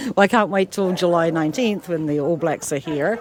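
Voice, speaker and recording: Speaking at a fairly quick pace with a New Zealand accent, a woman uses ordinary pitch variation over noticeable background noise. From New Zealand, Ashburton. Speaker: rugby fan and volunteer. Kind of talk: casual interview chat.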